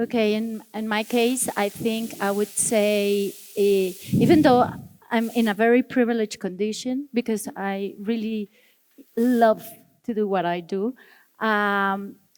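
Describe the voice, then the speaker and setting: At a fairly slow pace, a woman with a Spanish accent speaks in a fairly high voice with fairly even intonation. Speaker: architect. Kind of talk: panel discussion.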